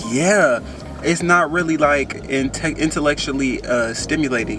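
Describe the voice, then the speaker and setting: Noticeable background noise accompanies a man speaking in an American accent. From Oakland, California. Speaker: college student and vlogger. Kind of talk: casual vlog advice. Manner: soft-spoken.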